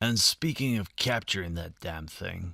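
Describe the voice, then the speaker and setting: A man puts on a character voice, very deep and low, raspy and growling, with lively intonation. He speaks at a moderate pace on a very clean recording with a silent background. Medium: read story. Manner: domineering, brusque.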